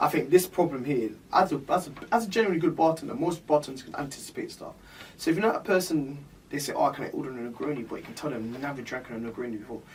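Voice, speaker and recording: A man with a fairly high pitch talks at a very fast pace, with lively intonation and big swings in loudness. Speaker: bartender podcast co-host. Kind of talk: casual chat. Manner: halting.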